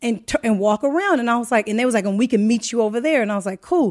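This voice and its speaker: In a quiet background, a woman speaks at a fairly high pitch with ordinary pitch variation. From US West Coast, Los Angeles area (Inglewood). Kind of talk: casual chat.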